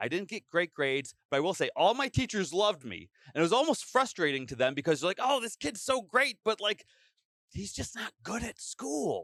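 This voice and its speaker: Loud and high-pitched, a man sweeps through very wide pitch swings in a dry, close sound with no echo. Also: moderate pace. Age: 30s. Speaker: teacher and YouTuber. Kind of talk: casual chat. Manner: over-enunciating.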